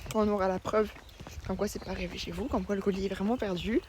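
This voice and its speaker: Soft-spoken and at medium pitch, a woman talks at a very fast pace over noticeable background noise. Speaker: vlogger. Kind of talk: casual vlog talk. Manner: hesitant, many fillers.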